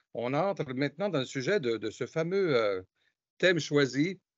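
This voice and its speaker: The speaker is a man with a fairly high pitch. He keeps a moderate pace with lively intonation. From Canada. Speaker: host. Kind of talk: interview.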